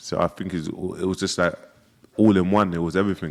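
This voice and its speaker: A man speaks with a London accent in a fairly low-pitched voice. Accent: London English (multicultural London). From South London. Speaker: influencer and music figure, former prisoner. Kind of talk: casual interview chat.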